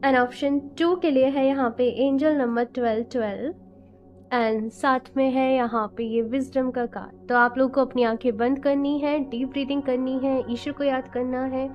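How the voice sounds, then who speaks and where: A woman with a high pitch at a fairly slow pace, her intonation monotone and flat. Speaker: tarot card reader. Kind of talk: tarot reading to camera. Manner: casual Hindi-English code-switching.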